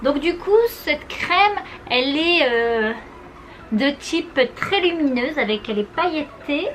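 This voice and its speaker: With noticeable background noise behind her, a woman speaks at a very slow pace in a high pitch with lively intonation. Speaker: beauty vlogger. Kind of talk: tutorial.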